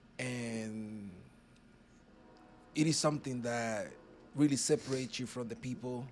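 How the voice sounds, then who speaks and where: At a fairly slow pace with long, frequent pauses, a man of medium pitch speaks with fairly even intonation and big swings in loudness over music in the background. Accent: Spanish. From Dominican Republic, Puerto Plata. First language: Spanish. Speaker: author. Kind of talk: casual chat.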